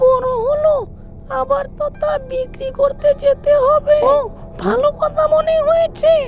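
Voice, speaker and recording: A female-sounding cartoonish character voice speaks at an extremely high pitch and a fairly slow pace. Clear music plays in the background. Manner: menacing, possessive.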